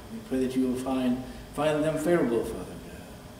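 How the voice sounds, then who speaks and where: A man talking at a very fast pace, with light background noise and audible room echo. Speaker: church announcer. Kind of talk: prayer and announcements. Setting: church. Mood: reverent, earnest. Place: church. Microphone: podium.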